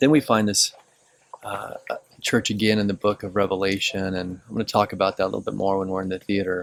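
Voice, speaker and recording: Soft-spoken and fairly low-pitched, the man talks in a monotone, flat intonation with a dry, close sound and no echo. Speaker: pastor. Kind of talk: informal teaching on location. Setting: outdoors at ancient ruins. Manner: hesitant, many fillers.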